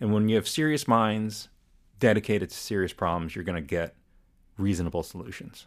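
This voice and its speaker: With an American accent, a man in an ordinary speaking voice talks at a fairly quick pace, fairly low in pitch with ordinary pitch variation, on a very clean recording with a silent background. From New England (Woodbridge, Connecticut). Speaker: environmental association president, former legislative staff. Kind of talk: casual interview.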